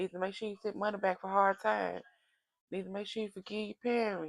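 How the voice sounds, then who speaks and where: This woman is loud and talks at a very fast pace. Her pitch sits at a medium level. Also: dry, close sound with no echo. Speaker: tarot oracle reader. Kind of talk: casual direct-to-camera reading. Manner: animated, preachy.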